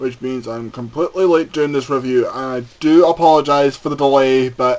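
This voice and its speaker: Noticeable background noise behind a fairly slow pace. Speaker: wrestling event reviewer. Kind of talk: casual spoken review. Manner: stuttering, hesitant.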